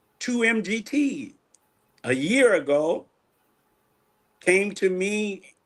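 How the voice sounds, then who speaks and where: Very wide pitch swings in a man's high voice. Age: 60s. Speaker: minister. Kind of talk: testimony.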